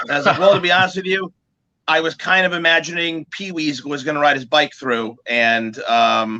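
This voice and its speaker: A man with an American accent speaks at a fairly high pitch in a bright, sharp, animated tone. His pitch varies in an ordinary way and his pace is moderate. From New Jersey. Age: 40s. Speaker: musician. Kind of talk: casual chat.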